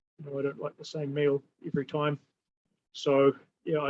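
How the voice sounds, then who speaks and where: A man speaks with a New Zealand accent, his pitch fairly high. The sound is dry and close, with no echo. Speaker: holistic therapy practitioner. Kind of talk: casual interview conversation. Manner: halting, many fillers and repetitions.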